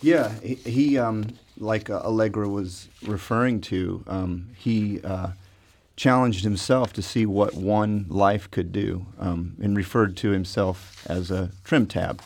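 A man's fairly low voice at a very slow pace with ordinary pitch variation. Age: 40s. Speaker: creative director of a dome venue. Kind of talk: radio interview. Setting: studio.

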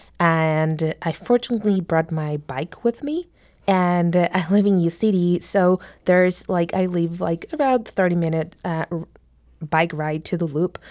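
A woman with a non-native accent speaks at a fairly slow pace, her pitch fairly low. Her pitch varies in an ordinary way, and the sound is dry and close with no echo. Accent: foreign-accented English. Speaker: immigrant mentee in a mentoring program. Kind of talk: radio interview.

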